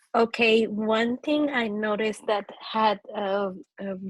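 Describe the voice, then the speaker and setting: A woman with a non-native accent, fairly high in pitch and fairly even in intonation, at a very slow pace, the sound dry and close with no echo. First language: not English. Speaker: book club participant. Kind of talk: group video call discussion. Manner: halting.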